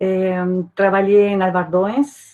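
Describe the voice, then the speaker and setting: A woman with a Uruguayan accent talks at a fairly slow pace and medium pitch, her intonation monotone and flat. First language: Spanish (speaking Portuguese). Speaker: archaeology professor. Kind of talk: academic talk.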